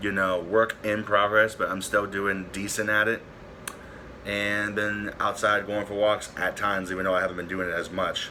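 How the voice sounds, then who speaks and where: A man speaks at a fairly low pitch. There is noticeable background noise behind him. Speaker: YouTuber. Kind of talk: casual vlog update. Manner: stutters at times; halting, filler-heavy.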